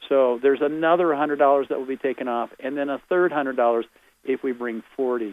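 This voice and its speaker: This man's voice sits at medium pitch with ordinary pitch variation. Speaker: tour organizer. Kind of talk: promotional pitch on phone-in radio. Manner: fast.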